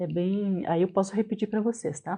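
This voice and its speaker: At a moderate pace, the speaker delivers the words in a dark, mellow tone. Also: woman. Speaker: business owner and trainer. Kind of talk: online class. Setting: live online session.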